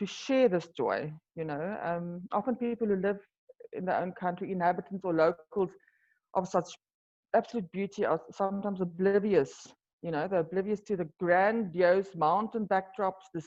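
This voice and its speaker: At a moderate pace, a woman with a South African accent speaks at a medium pitch. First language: Afrikaans. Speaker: wine tour business owner. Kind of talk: interview. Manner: halting.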